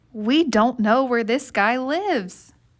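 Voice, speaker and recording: Putting on a character voice, a woman speaks high and fairly slowly. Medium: read story.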